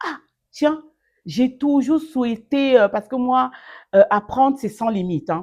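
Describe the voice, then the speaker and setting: Warm tone and very wide pitch swings at a fairly slow pace, in a very clean recording with a silent background. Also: woman. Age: 50s. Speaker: online training advisor, master's graduate. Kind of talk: interview answer. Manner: warm, lively, motivational.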